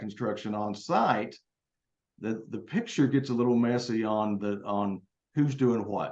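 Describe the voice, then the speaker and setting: Speaking with ordinary pitch variation at a moderate pace, a man has an unremarkable speaking voice. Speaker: state building code official. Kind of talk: panel presentation.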